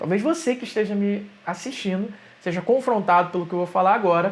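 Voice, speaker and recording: Speaking with a Rio de Janeiro accent, a man talks at a moderate pace and high pitch with ordinary pitch variation. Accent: carioca. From Rio de Janeiro, Brazil. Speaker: digital entrepreneur, YouTuber. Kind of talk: opinion monologue to camera.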